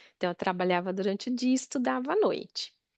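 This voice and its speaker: A woman talks at a moderate pace, her dry, close sound free of echo over a quiet background. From Northeast Brazil, Natal. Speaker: therapy client. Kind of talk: therapy session, personal life story.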